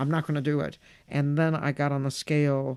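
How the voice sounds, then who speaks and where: A woman with an American accent speaks in a very deep, low pitch and a dark, mellow tone, her intonation monotone and flat, on a very clean recording with a silent background. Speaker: stand-up comedian. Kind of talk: interview answer.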